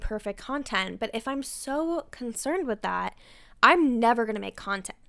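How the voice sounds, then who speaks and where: A woman talks at a fairly high pitch in a very clean recording with a silent background. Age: 20s. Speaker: podcast host and private chef. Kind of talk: solo podcast monologue.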